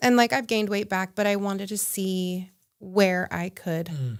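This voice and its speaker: A woman with a normal speaking voice and an American accent talks at a fairly slow pace with ordinary pitch variation, on a very clean recording with a silent background. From Utah. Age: 30s. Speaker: founder and CEO of a women's apparel company. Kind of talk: podcast interview answer.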